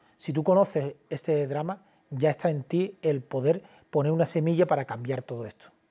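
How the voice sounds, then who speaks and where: Over a quiet background, a man's fairly high voice, with a dark, mellow tone and ordinary pitch variation, moves at a moderate pace. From Cádiz, Andalusia, Spain; Andalusia, Spain. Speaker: documentary filmmaker and journalist; journalist. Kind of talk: interview. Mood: earnest, indignant. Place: studio. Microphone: lapel.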